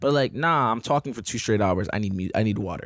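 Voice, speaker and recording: Very fast speech from a man at medium pitch, with ordinary pitch variation and a dry, close sound with no echo. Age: 20s. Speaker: event promoter. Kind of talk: casual chat.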